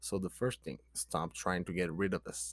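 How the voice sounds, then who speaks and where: A man speaks with a Brazilian Portuguese accent. The recording is very clean, with a silent background. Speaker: person sharing mental health recovery. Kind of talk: casual vlog advice monologue. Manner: halting, with many fillers.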